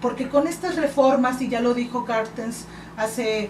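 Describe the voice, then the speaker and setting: A high-pitched woman talks at a moderate pace with ordinary pitch variation. Noticeable background noise and audible room echo surround her voice. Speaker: political candidate. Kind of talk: radio interview.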